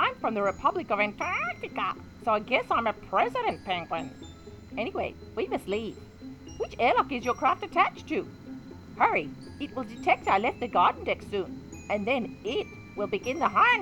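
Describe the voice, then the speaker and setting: A put-on character voice moves at a moderate pace over clear background noise. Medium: audio drama. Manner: fast, urgent.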